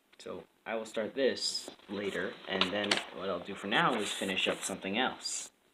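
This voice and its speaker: Over noticeable background noise, a man talks at a moderate pace. His pitch is fairly low, with ordinary variation. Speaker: video creator drawing maps. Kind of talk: casual talk while drawing. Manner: rambling, hesitant.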